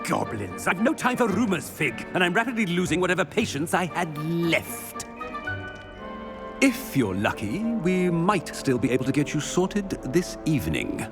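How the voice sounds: A man's put-on character voice, fairly high in pitch with vocal fry and very wide pitch swings, over clear music in the background. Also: moderate pace.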